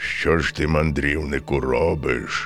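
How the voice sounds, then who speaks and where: A man puts on a character voice at a very deep, low pitch. He speaks at a fairly slow pace. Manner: menacing, stern.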